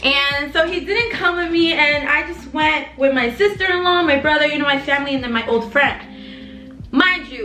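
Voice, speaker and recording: With music in the background and audible room echo, a woman uses a raised, projected voice, high in pitch, with lively intonation at a moderate pace. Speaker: YouTuber and young mom vlogger. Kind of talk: casual vlog storytelling. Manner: shaky voice; rambling, chatty.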